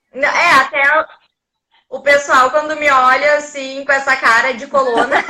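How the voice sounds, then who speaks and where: Her raised, projected voice is high-pitched, and the woman moves at a moderate pace with long, frequent pauses. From Porto Alegre, southern Brazil. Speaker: investment content creator. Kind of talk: casual chat. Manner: sing-song intonation.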